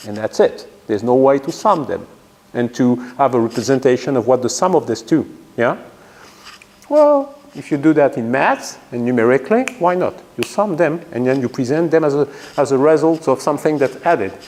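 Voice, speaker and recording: Noticeable background noise sits behind a man talking at a fairly quick pace. His pitch is fairly high, with ordinary variation. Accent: French. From France. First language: French. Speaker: physics professor. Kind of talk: lecture.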